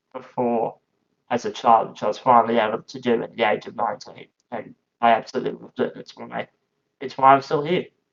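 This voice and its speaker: A man with an Australian accent talks at a fairly quick pace with fairly even intonation. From Australia, regional Queensland. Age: 20s. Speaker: powerchair football player and commentator. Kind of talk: casual podcast interview. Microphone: lower quality, cutting out in first minutes.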